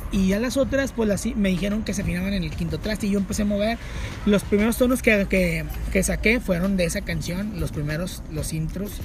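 Fairly quick speech comes from a man. The room echo is audible and background noise is noticeable. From northern Mexico, Monterrey. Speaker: burger restaurant owner and musician. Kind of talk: casual chat. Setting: in his burger restaurant, public place.

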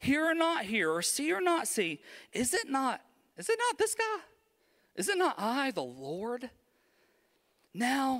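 A man with a Southern US accent speaks at a very slow pace while his pitch swings very widely. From US South, Alabama. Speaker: pastor. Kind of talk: sermon. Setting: church. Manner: animated.

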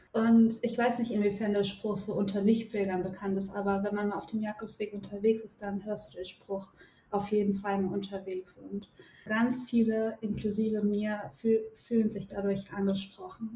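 The pace here is moderate. Intonation stays monotone and flat. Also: woman, medium pitch for a woman. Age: 20s. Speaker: psychologist and pilgrim. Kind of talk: podcast interview.

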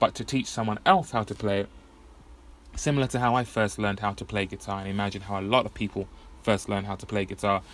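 At a very fast pace, a man with an English accent speaks at a fairly low pitch. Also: fairly even intonation. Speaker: podcast host. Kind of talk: solo monologue. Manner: casual, rambling.

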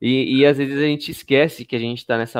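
A man talks at a fairly quick pace. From Brazil, periphery. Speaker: live-stream host, entrepreneur. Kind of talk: live-stream interview. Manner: casual, animated.

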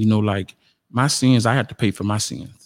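On a very clean recording with a silent background and a dry, close sound with no echo, a man with a South Carolina accent speaks very fast at a fairly low pitch. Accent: Southern US (South Carolina). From US South. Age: 40s. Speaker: podcast guest. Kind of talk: testimony. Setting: studio. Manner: laid back.

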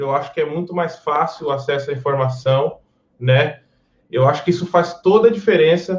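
Here is a man with an ordinary speaking voice, pitched fairly high. He keeps a moderate pace and ordinary pitch variation. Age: 30s. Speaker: guitarist. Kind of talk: casual chat.

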